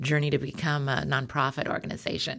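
Here is a woman speaking. She has a West Coast accent. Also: very clean recording, silent background. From Oregon, Beaverton area near Portland. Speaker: foundation executive director. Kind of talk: interview.

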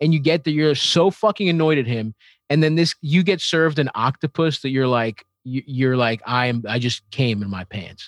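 A man with an American accent speaks in a plain, everyday voice at medium pitch and a moderate pace, with lively intonation and hardly any pauses, on a very clean recording with a silent background and a dry, close sound with no echo. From Baltimore, US. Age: 30s. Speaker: comedian. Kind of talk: casual chat.

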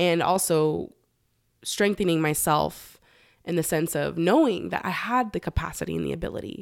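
A woman with a Californian accent at a moderate pace, on a very clean recording with a silent background. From Los Angeles, San Fernando Valley. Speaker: beekeeper and cannabis consultant. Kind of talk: casual interview.

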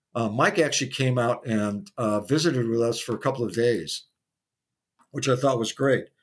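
A man with an ordinary speaking voice, medium pitch, ordinary pitch variation and an American accent. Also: very clean recording, silent background. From US Midwest. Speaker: pinball player. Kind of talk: interview.

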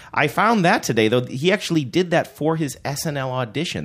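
Over a silent background in a very clean recording, the voice carries lively intonation and vocal fry. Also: man. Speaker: podcast host. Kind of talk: casual chat. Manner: fast; loud.

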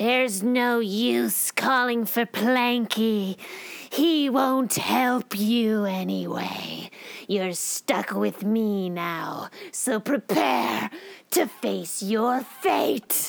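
A female-sounding put-on character voice sits fairly high in pitch. The pace is very slow. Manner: menacing, theatrical.

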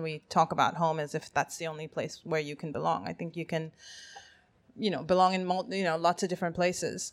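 A woman with a fairly low pitch talks at a very fast pace. Her intonation stays fairly even. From Zambia, Kenya and Canada. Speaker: writer. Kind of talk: live panel discussion. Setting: stage with audience.

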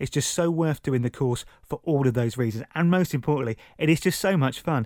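A man with a southern English accent speaks at a fairly high pitch with ordinary pitch variation. The recording is very clean, with a silent background and a dry, close sound with no echo. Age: 30s. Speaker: radio presenter and amateur comedian. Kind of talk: podcast narration.

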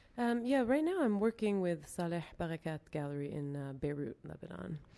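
Captured in a very clean recording with a silent background, a woman with a Mid-Atlantic American accent speaks in a dark, mellow tone. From US, Baltimore. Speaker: artist and art teacher. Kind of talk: casual interview. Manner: hesitant, many fillers.

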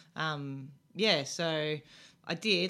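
On a very clean recording with a silent background, a woman speaks in a bright, sharp tone with an Australian accent. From Melbourne, Australia. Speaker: former professional basketball player. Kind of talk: interview. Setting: radio studio.

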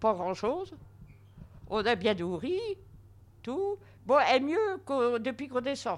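A woman talks at a very slow pace with long, frequent pauses. Her pitch is high. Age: 80s+. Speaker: nursing home resident. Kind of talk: interview testimony. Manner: halting.

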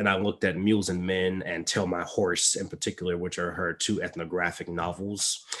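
A man with a Mississippi accent and a very deep, low pitch talks at a fairly quick pace in a monotone, flat intonation, with hardly any pauses. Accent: Southern US (Mississippi). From US South, Mississippi (Clinton, near Jackson). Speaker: PhD candidate and instructor. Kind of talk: interview. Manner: halting, frequent fillers.

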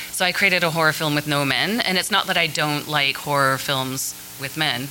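A woman with a very deep, low voice speaks at a fairly quick pace with ordinary pitch variation, her words carrying audible room echo over music in the background. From Canada, Vancouver. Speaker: filmmaker. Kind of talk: panel discussion. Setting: stage with audience.

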